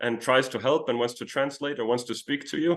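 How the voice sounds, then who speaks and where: A man speaks with a Danish accent. His pace is fairly quick. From Denmark. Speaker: traveler. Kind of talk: interview.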